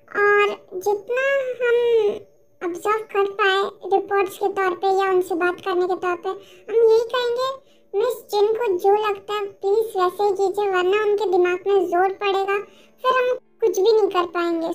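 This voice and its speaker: Using a put-on character voice, a woman speaks at a moderate pace with an extremely high pitch and fairly even intonation. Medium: fan dub. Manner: measured, explanatory, Hinglish.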